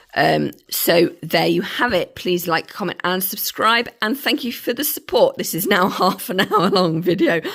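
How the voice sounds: Croaky and full of vocal fry, the voice has a fairly bright tone and lively intonation at a fairly slow pace. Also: woman, fairly low pitch for a woman.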